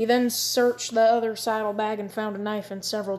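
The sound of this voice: This is an unforced reading voice. Nothing more stands out.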